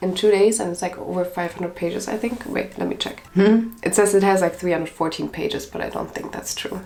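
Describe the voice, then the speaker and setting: A woman's medium-pitched voice with a non-native accent at a fairly quick pace with hardly any pauses, over noticeable background noise. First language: not English. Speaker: book reviewer. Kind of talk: casual reaction video, reading reviews aloud. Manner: animated.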